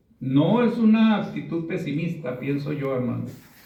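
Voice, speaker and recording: Audible room echo surrounds a man who talks at a very slow pace and a high pitch. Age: 60s. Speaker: preacher. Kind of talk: sermon.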